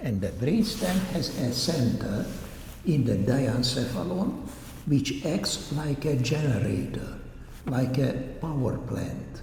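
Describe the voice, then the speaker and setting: Over noticeable background noise and audible room echo, a man with a non-native accent talks at a very slow pace with lively intonation. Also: medium pitch for a man. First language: not English. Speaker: doctor giving a public talk. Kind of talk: lecture. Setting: church hall talk with audience.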